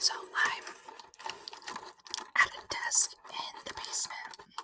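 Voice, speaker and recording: A woman is whispering. Her pace is very slow. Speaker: ASMR creator. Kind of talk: ASMR whispered snack tasting. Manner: whispered. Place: home room. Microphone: studio mic.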